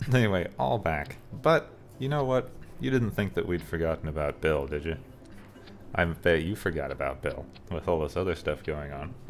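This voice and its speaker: Very wide pitch swings with vocal fry. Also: man, very deep, low pitch for a man. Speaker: gaming video creator. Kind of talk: gameplay commentary. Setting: home recording in a small apartment. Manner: fast; animated.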